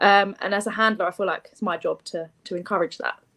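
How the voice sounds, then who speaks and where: On a very clean recording with a silent background, a woman in a London accent talks at a moderate pace, at medium pitch with ordinary pitch variation. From East London. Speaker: contest contestant. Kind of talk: interview.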